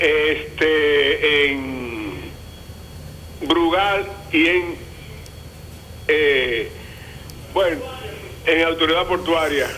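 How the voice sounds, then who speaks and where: Speaking very slowly with long, frequent pauses, a man with a fairly high pitch and a Dominican accent shows ordinary pitch variation. Noticeable background noise and audible room echo fill the recording. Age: 70s. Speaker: caller. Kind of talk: call-in question.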